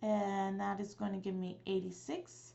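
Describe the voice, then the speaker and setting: Somewhat breathy, a woman speaks at medium pitch. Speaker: math teacher. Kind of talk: tutorial.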